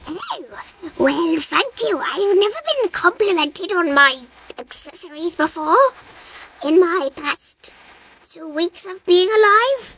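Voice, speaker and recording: An extremely high voice speaks at a fairly slow pace. It leaves long, frequent pauses. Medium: machinima. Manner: apologetic, eager.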